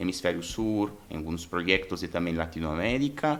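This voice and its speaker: A man speaks with a Brazilian accent, his intonation lively and his pace moderate. The recording is very clean, the background silent. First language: Portuguese (speaking Spanish). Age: 30s. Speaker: human resources director. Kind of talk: podcast interview. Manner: halting.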